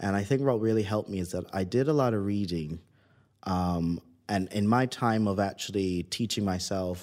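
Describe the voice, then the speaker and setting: A man with a Barbadian accent speaks at a very deep, low pitch with ordinary variation. The recording is very clean, with a silent background. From Barbados. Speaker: tech founder and former pilot. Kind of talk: interview.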